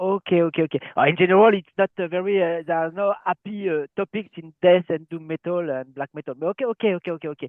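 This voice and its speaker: With a French accent, a man talks at a very fast pace and a high pitch, with fairly even intonation and hardly any pauses. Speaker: metal webzine interviewer. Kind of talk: interview. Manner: halting.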